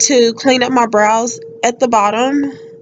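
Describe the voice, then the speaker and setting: A woman speaks at a moderate pace in a high voice. There is noticeable background noise. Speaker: beauty vlogger. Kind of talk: tutorial voiceover.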